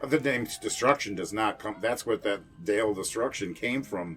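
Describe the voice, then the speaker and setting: Fairly low male voice with an American accent, lively intonation and moderate pace, music in the background. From Kenosha, Wisconsin. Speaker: horror host, musician, actor, radio host. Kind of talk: casual interview answer. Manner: relaxed, conversational, reminiscing.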